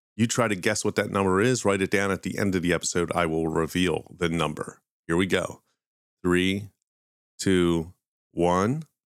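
With an American accent, a man speaks at a very deep, low pitch and a moderate pace, using long, frequent pauses, fairly even intonation and very even loudness, in a very clean, dry, close recording with no echo and a silent background. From Philadelphia, US. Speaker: podcast host, pop culture demonology. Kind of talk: casual storytelling podcast.

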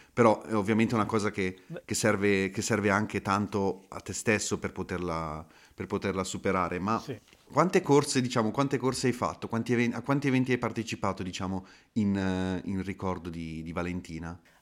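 A man talks in a normal speaking voice with fairly low pitch and ordinary pitch variation. The recording is very clean and the background silent. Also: fairly quick pace. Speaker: podcast host. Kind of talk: interview, conversational.

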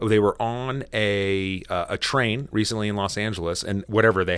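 A normal speaking voice with an American accent moves at a moderate pace with fairly even intonation. The recording is very clean, with a silent background. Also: man. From United States. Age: 40s. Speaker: lawyer and podcast co-host. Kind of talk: casual chat.

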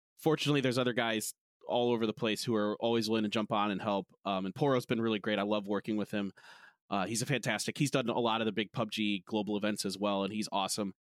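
In an American accent, a man with a fairly low pitch talks at a very fast pace with fairly even intonation, the sound dry and close with no echo. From United States. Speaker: esports caster. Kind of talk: casual chat. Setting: video call.

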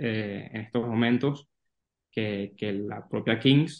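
A man talks at a medium pitch. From Venezuela. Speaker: sports business analyst. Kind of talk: interview. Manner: halting, many repeated words.

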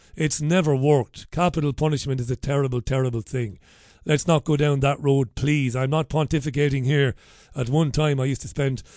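Against a quiet background, a man with an Irish accent speaks at a fairly high pitch. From Ireland. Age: 40s. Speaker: radio host. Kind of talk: talk radio chat. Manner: animated.

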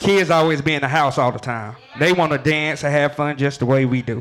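A man with a normal speaking voice, fairly high in pitch, ordinary pitch variation and a moderate pace. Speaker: event organizer.

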